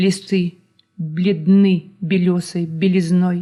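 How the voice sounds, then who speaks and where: Dark, mellow tone in a woman's somewhat breathy voice. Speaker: poet reading her own work. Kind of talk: poetry reading.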